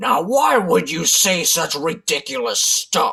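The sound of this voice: A put-on character voice, gruff, raspy and growling, at a middle pitch and a fairly slow pace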